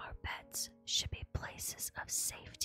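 Someone whispers at a fairly slow pace. Music plays in the background. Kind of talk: ASMR reading of game item descriptions. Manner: soft, quiet ASMR delivery.

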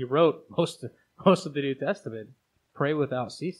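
A man with a plain, everyday voice, a fairly quick pace and lively intonation. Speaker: podcast host. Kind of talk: casual chat.

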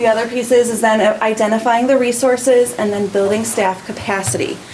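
Noticeable background noise underlies a woman speaking at a fairly quick pace. Her pitch is fairly high and her intonation fairly even. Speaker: school principal. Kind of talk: presentation at a school board meeting. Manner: fast.

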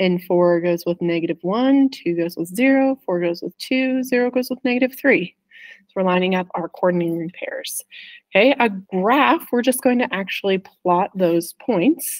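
Over a quiet background, a woman speaks at a moderate pace with lively intonation. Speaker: math teacher. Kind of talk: tutorial. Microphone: webcam.

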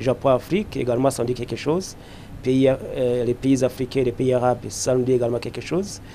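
With light background noise, a man speaks at a fairly quick pace in a dark, mellow tone with fairly even intonation. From Burundi. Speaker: politician. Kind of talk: press statement. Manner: formal; hesitant with fillers. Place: hall. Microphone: handheld.

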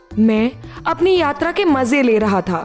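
A woman speaks at a high pitch with very wide pitch swings. Music plays in the background. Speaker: voice over artist. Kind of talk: children's story narration. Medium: read story.

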